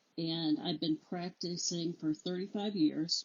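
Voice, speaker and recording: An ordinary speaking voice with an American accent, a fairly slow pace and ordinary pitch variation. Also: woman. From Illinois. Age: 60s. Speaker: judicial candidate, attorney. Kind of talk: interview.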